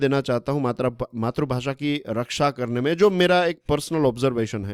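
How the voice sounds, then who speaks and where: Lively intonation marks a man's voice in a very clean recording with a silent background and a dry, close sound with no echo. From Gujarat, Saurashtra (Kathiawar). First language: Gujarati (speaking Hindi). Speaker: current affairs educator. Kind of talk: lecture. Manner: conversational, Hindi-English code-mixing.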